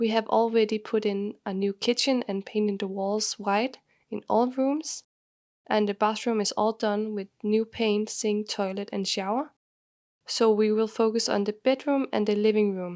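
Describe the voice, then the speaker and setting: A woman with a Danish accent speaks at a fairly high pitch and moderate pace with fairly even intonation, in a dry, close sound with no echo and a very clean recording with a silent background. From Denmark. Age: 20s. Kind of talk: home tour voiceover.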